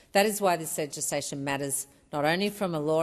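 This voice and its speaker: Against a quiet background, a woman with a very deep, low pitch speaks at a fairly quick pace. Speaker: federal member of parliament. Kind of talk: parliamentary speech.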